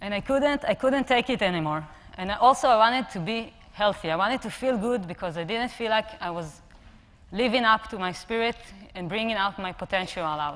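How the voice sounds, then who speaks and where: Speaking at a fairly quick pace, a woman uses lively intonation at a fairly high pitch. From Israel. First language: Hebrew. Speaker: personal trainer and app co-founder. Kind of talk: conference talk. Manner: halting.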